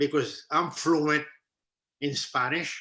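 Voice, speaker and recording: At a very slow pace, a man with a Haitian accent speaks at a fairly high pitch in a bright, sharp tone. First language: Haitian Creole. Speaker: entrepreneur, business owner. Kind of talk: interview. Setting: live stream on social media.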